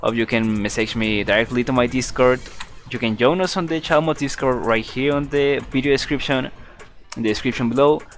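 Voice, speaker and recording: The speech comes at a fairly quick pace with a Spanish accent. Music plays in the background. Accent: non-native English, Spanish. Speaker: game modder streaming development. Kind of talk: live stream chat. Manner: halting.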